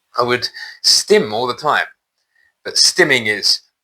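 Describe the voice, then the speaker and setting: A man speaks in a bright, sharp tone with a British accent. The recording is very clean, with a silent background. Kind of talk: personal testimony monologue. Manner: halting, with repetitions.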